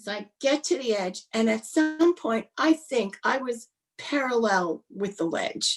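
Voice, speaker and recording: With music playing behind, the voice moves at a fairly slow pace and swings very widely in pitch. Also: woman, high pitch for a woman. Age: 60s. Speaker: public speaker and corporate trainer. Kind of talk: storytelling in a podcast interview.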